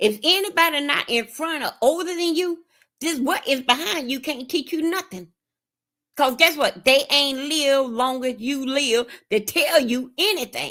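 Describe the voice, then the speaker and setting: A woman speaks in a raised, projected voice with high pitch, a bright, sharp tone and lively intonation. Her delivery is animated, though her pace is fairly slow. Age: 50s. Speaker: streamer giving advice. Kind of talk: casual chat.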